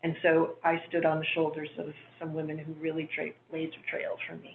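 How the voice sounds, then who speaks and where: A woman with an American accent, very deep, low pitch, monotone, flat intonation, fairly quick pace, big swings in loudness, and noticeable background noise. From Pennsylvania coal mining town. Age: 60s. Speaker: commissioner, research scientist. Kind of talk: self-introduction at city commission meeting.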